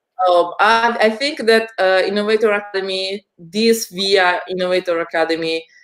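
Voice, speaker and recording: A woman with an Italian accent speaks at a medium pitch and a moderate pace, with hardly any pauses. Her pitch varies in an ordinary way. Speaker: education community host. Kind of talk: video call interview.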